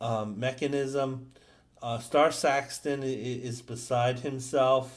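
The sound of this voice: An unforced reading voice carries intonation that stays fairly level.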